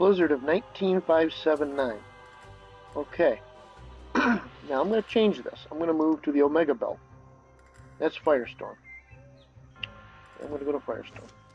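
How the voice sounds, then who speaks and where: A man's fairly high voice with ordinary pitch variation, a fairly quick pace and long, frequent pauses, with music in the background. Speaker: gamer. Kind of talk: game tutorial voice-over. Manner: hesitant, casual.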